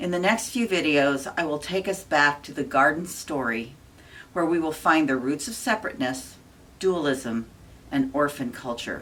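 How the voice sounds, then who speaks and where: At a moderate pace, a woman speaks with a very deep, low pitch and lively intonation. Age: 60s. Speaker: spiritual channel host. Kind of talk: scripted talk to camera; casual monologue. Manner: halting.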